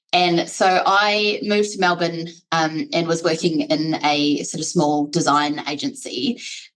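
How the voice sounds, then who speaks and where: This woman talks at a fairly slow pace with hardly any pauses. Her fairly low voice has lively intonation. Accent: New Zealand. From New Zealand. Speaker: HR executive. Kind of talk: podcast interview. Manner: conversational, many fillers.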